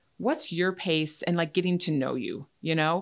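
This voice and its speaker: A woman talks at a moderate speed. Behind her the background is silent, and the recording is very clean. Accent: Upper Midwest. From Wisconsin, Chippewa Valley. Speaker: dentist. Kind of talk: casual chat. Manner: halting.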